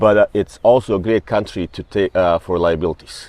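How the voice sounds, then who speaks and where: Fairly low in pitch, a man with a non-native accent speaks at a fairly quick pace with fairly even intonation, the sound dry and close with no echo. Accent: foreign. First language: not English. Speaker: real estate broker. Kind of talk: interview. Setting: hotel. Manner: halting.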